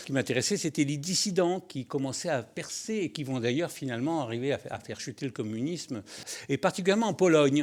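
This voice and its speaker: Very fast, lively-toned speech from a man at a medium pitch. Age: 70s. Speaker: journalist and author. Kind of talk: interview.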